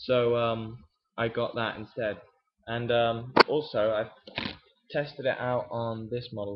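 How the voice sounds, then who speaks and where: Speaking fairly slowly with an English accent, a man keeps a medium pitch and fairly even intonation, leaving long, frequent pauses. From England. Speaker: miniature painting hobbyist vlogger. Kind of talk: casual video update and painting tutorial. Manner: hesitant, many fillers.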